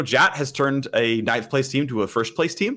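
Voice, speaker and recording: Here is a man with an unremarkable speaking voice at a medium pitch. His intonation is lively. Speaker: esports caster. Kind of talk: interview answer.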